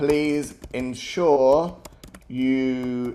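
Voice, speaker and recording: A man talks with a British accent at a medium pitch. His tone is dark and mellow. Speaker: app-building tutor. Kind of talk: live tutorial. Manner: mumbling; hesitant, many fillers.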